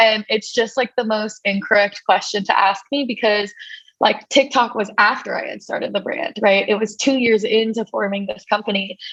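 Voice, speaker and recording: In a plain, everyday voice, a woman speaks with an American accent at a moderate pace. Her intonation stays fairly even. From New York City. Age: 20s. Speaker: entrepreneur and influencer. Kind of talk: interview. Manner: casual, filler-heavy.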